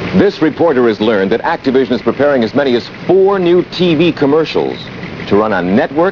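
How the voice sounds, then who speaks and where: The pitch swings very widely at a moderate pace. Noticeable background noise sits behind the voice. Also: man. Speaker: mock news anchor. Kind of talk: 1981 spoof TV news broadcast, promotional narration. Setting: scripted promotional video. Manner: formal, polished newsreader delivery, tongue-in-cheek.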